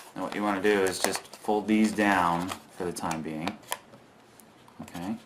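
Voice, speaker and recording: At a moderate pace, a man with a very deep, low pitch speaks with fairly even intonation and long, frequent pauses over noticeable background noise. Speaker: origami tutorial youtuber. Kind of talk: tutorial.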